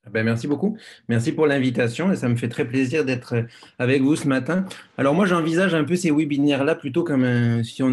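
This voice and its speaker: A man talks at a moderate pace. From France. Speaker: biology professor. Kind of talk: lecture. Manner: halting, many fillers.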